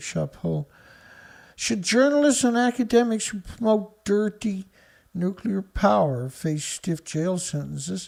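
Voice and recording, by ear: With a Newfoundland accent, a man speaks at a high pitch and a fairly slow pace, with vocal fry. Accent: Newfoundland Canadian.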